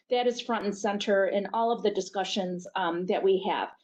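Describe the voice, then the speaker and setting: A woman with an unremarkable speaking voice keeps a moderate pace, her pitch varying in an ordinary way. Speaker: healthcare network executive. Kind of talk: webinar presentation.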